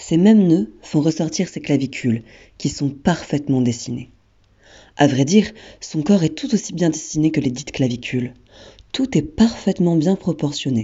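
A woman with a very deep, low voice speaks at a moderate pace with lively intonation and long, frequent pauses. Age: 20s. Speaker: theatre student describing a photo portrait. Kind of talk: descriptive narration.

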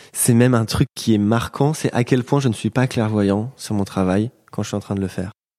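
Speaking at a fairly slow pace, a man with a fairly low pitch and a dark, mellow tone keeps his intonation fairly even, in a very clean recording with a silent background and a dry, close sound with no echo. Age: 20s. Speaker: painter. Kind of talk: interview. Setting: painter's studio near Paris.

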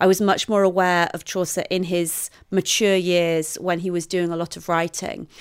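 A woman talks at a moderate pace with hardly any pauses, her fairly low voice monotone and flat. The recording is very clean with a silent background. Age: 40s. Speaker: literature professor and biographer. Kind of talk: interview.

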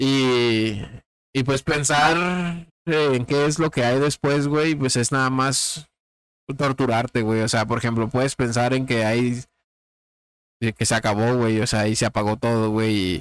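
A man with an unremarkable speaking voice speaks at a fairly slow pace in a medium pitch with ordinary pitch variation, in a dry, close sound with no echo. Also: very even loudness. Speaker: podcast host. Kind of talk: casual chat.

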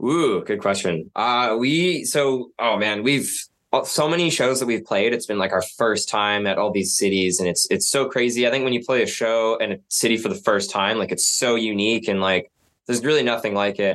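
With a Canadian accent, a man speaks at a moderate pace in a medium pitch, using ordinary pitch variation and very even loudness. He has an unremarkable speaking voice. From Canada, Vancouver Island (Nanaimo). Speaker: rock musician. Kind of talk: casual interview.

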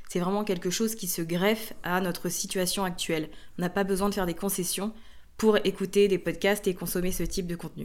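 Fairly quick, monotone female speech at a medium pitch, its intonation flat. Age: 30s. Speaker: entrepreneur and online trainer. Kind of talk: interview conversation.

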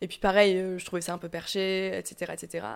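On a very clean recording with a silent background, a woman speaks at a moderate pace and medium pitch in an unremarkable speaking voice. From southwestern France. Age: 20s. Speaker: YouTuber on self-acceptance. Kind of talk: interview conversation.

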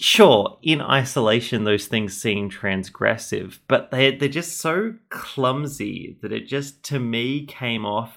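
With an Australian accent, a man's bright, sharp voice comes through on a very clean recording with a silent background. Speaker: podcast host. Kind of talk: casual chat.

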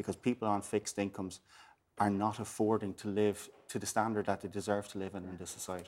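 A man with a Waterford accent speaks at a fairly quick pace in a fairly low pitch. His delivery is monotone, with flat intonation. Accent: Irish, Waterford. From Ireland, West Waterford. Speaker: politician. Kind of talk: panel discussion.

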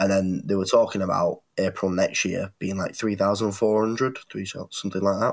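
In a northern English accent, a man speaks at a moderate pace and fairly low pitch, with monotone, flat intonation and hardly any pauses. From northwest England. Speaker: podcast co-host. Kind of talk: casual debate chat. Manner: hesitant, many fillers.

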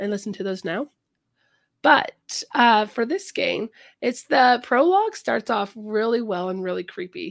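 In a plain, everyday voice, a woman talks at a moderate pace with lively intonation and fairly high pitch, on a very clean recording with a silent background and a dry, close sound with no echo. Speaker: podcast host. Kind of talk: casual chat.

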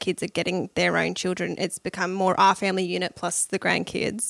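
A woman talks with an Australian accent. Her pace is fairly quick. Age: 20s. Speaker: homeschooled daughter. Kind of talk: casual chat. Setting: studio.

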